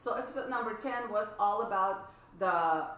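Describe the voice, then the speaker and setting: A woman with a Russian accent is heard with audible room echo and noticeable background noise. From former Soviet Union. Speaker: violin teacher. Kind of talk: casual chat.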